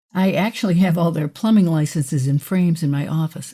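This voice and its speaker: A woman's very deep, low voice with vocal fry and a dark, mellow tone, at a moderate pace with ordinary pitch variation, in a very clean recording with a silent background. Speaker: fiction author. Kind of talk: interview. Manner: hesitant with fillers.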